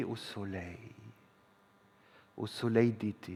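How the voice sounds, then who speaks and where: The pace of this man's speech is very slow. He sits at a medium pitch. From northern Germany. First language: German (speaking French). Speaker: stage performer. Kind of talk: theatre monologue. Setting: stage with audience.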